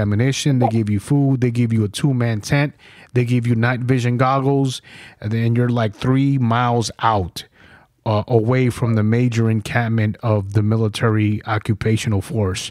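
A man's plain, everyday voice with an American accent, medium pitch, fairly even intonation and very even loudness, on a very clean recording with a silent background. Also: moderate pace. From New York. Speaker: podcast host and Marine veteran. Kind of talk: casual interview and war storytelling.

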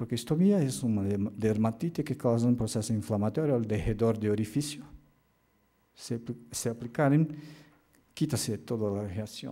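With a Portuguese accent, a man speaks at a moderate pace and medium pitch, his tone dark and mellow, with ordinary pitch variation and long, frequent pauses. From Brazil. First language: Portuguese (speaking Spanish). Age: 50s. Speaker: occupational medicine doctor and professor; physician lecturer. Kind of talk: lecture. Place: hall.

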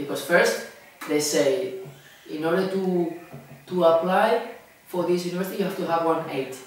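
With a Spanish accent and high pitch, a man speaks at a moderate pace with ordinary pitch variation, strong room echo and light background noise. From Tenerife, Canary Islands. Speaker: English teacher. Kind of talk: casual interview. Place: home room. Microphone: camera far.

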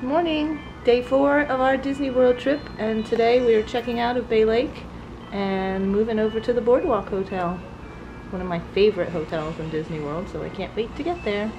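Music plays in the background. The speaker moves at a moderate pace with lively intonation. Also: woman. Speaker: family vlogger. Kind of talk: casual vlog chat. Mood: cheerful, laughing. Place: home room. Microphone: phone near.

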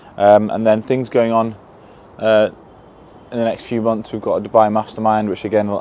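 Over light background noise, a man talks at a fairly quick pace in a dry sound with no echo. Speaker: fitness business coach vlogger. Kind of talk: casual vlog chat. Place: street. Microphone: lapel.

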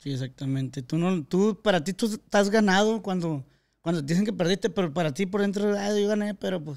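Over a silent background in a very clean recording, a man with a high pitch talks at a fairly quick pace with ordinary pitch variation. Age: 20s. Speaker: podcast host. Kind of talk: casual chat.

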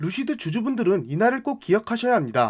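A man talks at a very fast pace in a high voice, his pitch swinging very widely. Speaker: finance YouTuber. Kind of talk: scripted narration. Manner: formal.

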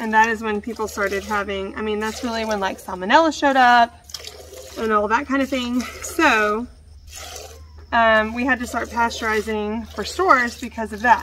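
A woman speaks at a moderate pace with a fairly high pitch and a bright, sharp tone. Her pitch varies in an ordinary way, and light background noise is present. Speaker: homesteader, small farmer. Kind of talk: casual vlog chat. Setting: outdoors, milking a cow in the barn. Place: farm.

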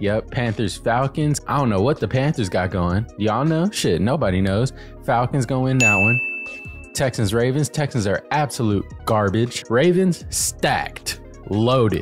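Over faint background music, a man speaks at a moderate pace in a dry sound with no echo. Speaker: sports content creator. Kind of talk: casual commentary. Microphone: studio mic.

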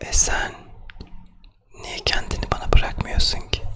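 A man whispering in a soothing tone at a fairly slow pace, over noticeable background noise. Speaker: ASMR creator. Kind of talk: ASMR sleep roleplay, soothing talk to the listener. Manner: whispered, soft, slow, soothing.

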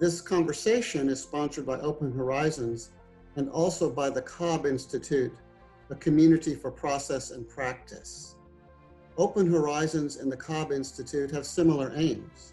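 Faint music plays behind a man who speaks at a moderate pace, his fairly high pitch varying in an ordinary way. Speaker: website editor and interviewer. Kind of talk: host introduction. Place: home room. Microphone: webcam.

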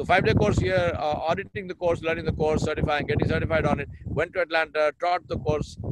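Loud background noise surrounds a man with an Indian accent, whose voice sounds dry with no echo. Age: 60s. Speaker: leadership consultant; interview guest. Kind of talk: interview. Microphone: video call.

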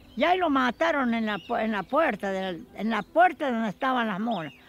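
Faint music plays behind a woman who speaks at a moderate pace with very wide pitch swings, in a dry sound with no echo. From Chuña, Córdoba, Argentina. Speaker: rural storyteller. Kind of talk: interview answer, folk tale telling. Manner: serious. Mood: earnest, cautious, storytelling. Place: garden.

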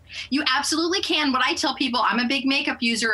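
A woman talks at a very fast pace with ordinary pitch variation against noticeable background noise. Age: 50s. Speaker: lifestyle expert promoting a product. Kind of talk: sponsored TV interview sales pitch.

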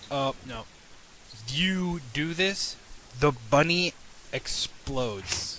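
A man talks very slowly, leaving long, frequent pauses. His fairly high voice has lively intonation over noticeable background noise. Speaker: Dungeon Master and channel host. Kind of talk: tabletop role-playing game session, casual chat and narration.

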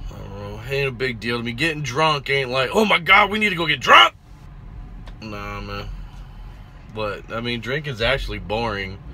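A man at a moderate pace with long, frequent pauses and big swings in loudness, over light background noise. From Puerto Rican family, born in El Paso, Texas. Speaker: truck driver vlogger. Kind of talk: casual vlog monologue. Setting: at a truck yard, selfie video. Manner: laid-back, swearing, laughing. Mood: relaxed, joking, slangy. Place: car. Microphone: phone near.

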